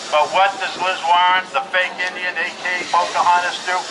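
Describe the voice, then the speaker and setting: Over noticeable background noise and audible room echo, a man with an American accent talks at a moderate pace in a high pitch. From US Midwest, Lakota Sioux reservation. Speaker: business owner. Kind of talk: political rally speech. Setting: outdoors.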